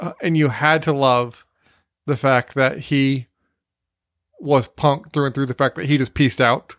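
A plain, everyday voice from a man, medium in pitch with ordinary pitch variation, at a moderate pace, dry and close with no echo. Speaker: podcast host. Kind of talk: casual comedic chat.

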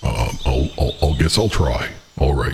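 Using a put-on character voice, a man speaks at a fairly slow pace in a very deep, low pitch. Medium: actual play. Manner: stammering, hesitant.

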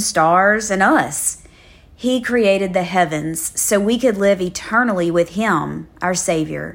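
A woman with a South Louisiana accent speaks at a medium pitch. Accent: South Louisiana Southern US. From South Louisiana, Livingston. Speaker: devotional podcast host. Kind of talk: devotional Bible teaching.

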